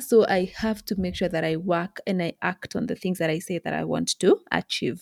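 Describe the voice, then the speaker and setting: A woman at a medium pitch with a dark, mellow tone, moderate pace and ordinary pitch variation, dry, close sound with no echo, very clean recording, silent background. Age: 30s. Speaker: podcast host. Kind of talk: motivational monologue.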